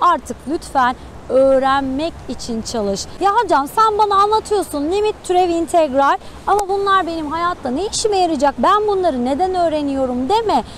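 A woman with an extremely high pitch speaks at a moderate pace with lively intonation. The sound is dry with no echo, over light background noise. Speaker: math teacher, student coach. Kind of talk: motivational talk to students. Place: beach.

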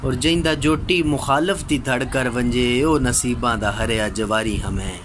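Noticeable background noise is present throughout. A man talks with ordinary pitch variation. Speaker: voice-over artist. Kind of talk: poetry reading. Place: home room. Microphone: phone near.

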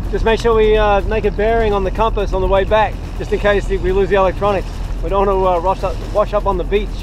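A man speaks at a very fast pace with very even loudness. The sound is dry with no echo, and there is noticeable background noise. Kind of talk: casual vlog chat. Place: boat. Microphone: phone near.

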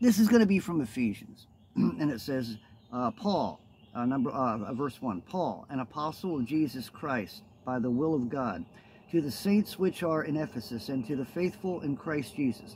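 Somewhat breathy male voice with very wide pitch swings over light background noise. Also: moderate pace. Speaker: minister. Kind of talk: casual vlog chat and scripture teaching. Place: forest. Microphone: phone near.

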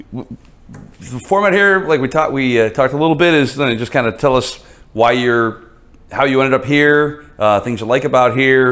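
A man's voice sits at medium pitch with ordinary pitch variation. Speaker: interview show host. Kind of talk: casual interview. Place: studio.

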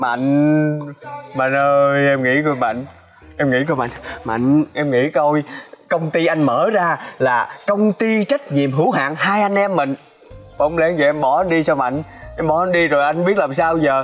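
A man speaks at a moderate pace with ordinary pitch variation. His loudness stays very even. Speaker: actor playing a boss. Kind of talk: scripted drama dialogue, pleading. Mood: pleading, comic desperation. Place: garden.

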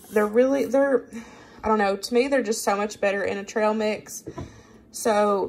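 Light background noise is audible. A woman's delivery moves at a moderate pace. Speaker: home cooking vlogger. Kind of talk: casual tutorial chat. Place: kitchen. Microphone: phone near.

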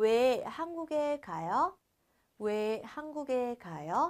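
A woman's animated voice against a quiet background. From Vietnam. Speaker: Korean language teacher. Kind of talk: lecture. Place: studio.

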